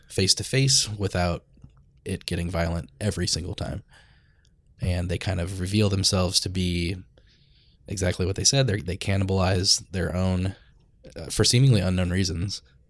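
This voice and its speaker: A gravelly man with an American accent, very deep and low in pitch, at a moderate pace on a very clean recording with a silent background. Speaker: podcast host. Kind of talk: casual chat.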